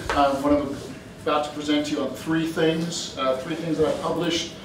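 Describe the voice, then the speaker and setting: A man's voice comes with audible room echo and noticeable background noise. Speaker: guest lecturer. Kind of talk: lecture. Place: hall. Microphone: camera far.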